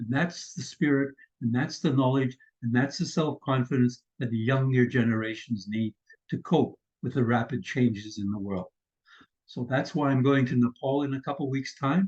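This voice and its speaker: A somewhat breathy voice in a Canadian accent, at a moderate pace with ordinary pitch variation. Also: man, medium pitch for a man. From Canada. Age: 80s+. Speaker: vlogger. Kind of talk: casual vlog talk. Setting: screen-share recording.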